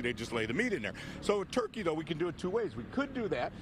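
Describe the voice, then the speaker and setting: Against noticeable background noise, a man talks at a very fast pace, the sound dry with no echo. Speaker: guest. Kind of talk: interview answer. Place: street. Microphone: handheld.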